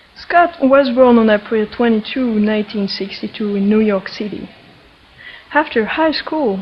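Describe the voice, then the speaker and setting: With a French accent, a woman speaks at a moderate pace in a fairly high pitch with ordinary pitch variation, over noticeable background noise. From France. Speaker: energy healer and interviewer. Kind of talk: introduction to interview.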